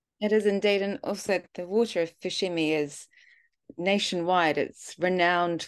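A woman talks with a fairly low pitch. The background is quiet. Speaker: podcast co-host. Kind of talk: interview. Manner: animated.

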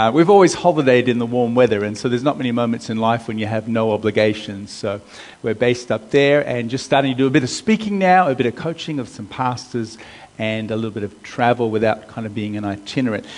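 A man with an American accent at a very fast pace, medium pitch and ordinary pitch variation, with noticeable background noise. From US. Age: 50s. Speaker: pastor. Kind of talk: sermon.

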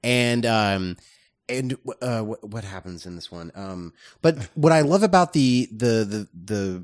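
The sound is dry and close with no echo, over a quiet background. Pitch swings very widely. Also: man. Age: 30s. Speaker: film reviewer podcast co-host. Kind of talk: casual chat.

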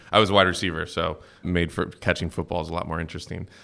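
Very fast male speech in a Midwestern US accent, bright and sharp in tone with ordinary pitch variation, on a very clean recording with a silent background. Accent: General American (Midwestern). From US Midwest (Cincinnati, Ohio). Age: 30s. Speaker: venture capital investor. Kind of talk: interview. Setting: in-person, San Francisco.

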